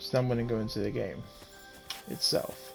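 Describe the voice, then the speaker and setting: Moderate-paced speech from a man, with background music. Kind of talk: game guide voice-over. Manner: hesitant, frequent fillers and stammering.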